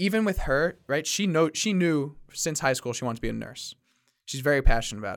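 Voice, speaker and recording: In a very clean recording with a silent background, a man with an unremarkable speaking voice talks at a fairly quick pace, his fairly high pitch rising and falling with lively intonation. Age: 20s. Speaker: podcast host. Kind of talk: casual chat. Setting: studio.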